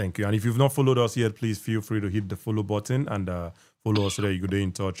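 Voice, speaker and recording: With a Nigerian accent, a man at a fairly low pitch talks at a very fast pace with ordinary pitch variation. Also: very clean recording, silent background. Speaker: podcast host. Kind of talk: live stream hosting. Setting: live stream.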